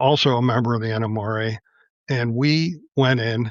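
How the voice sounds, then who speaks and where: This man has an ordinary speaking voice and an American accent. He talks at a fairly slow pace with ordinary pitch variation. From Pittsburgh, Pennsylvania. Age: 60s. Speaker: model railroad club president. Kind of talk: casual chat.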